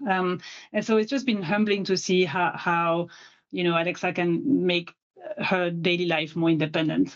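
With a French accent, a woman talks at a moderate pace in a fairly low pitch, her loudness very even and her pitch varying in an ordinary way. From France. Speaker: tech company director. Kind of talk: interview.

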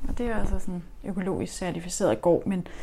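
At a moderate pace, a woman speaks in a somewhat breathy voice with a dark, mellow tone. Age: 40s. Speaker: urban gardener. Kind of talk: interview. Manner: halting.

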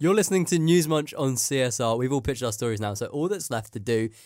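On a very clean recording with a silent background, a man talks at a fairly quick pace in a plain, everyday voice with ordinary pitch variation. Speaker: radio host. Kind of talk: casual comedy radio show chat. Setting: studio.

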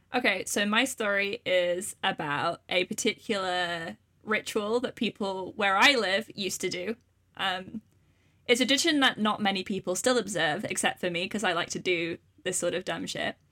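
On a very clean recording with a silent background, a woman with a Welsh accent speaks at medium pitch in a bright, sharp tone with ordinary pitch variation, the sound dry and close with no echo. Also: moderate pace. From Wales. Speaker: podcast host. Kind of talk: casual chat.

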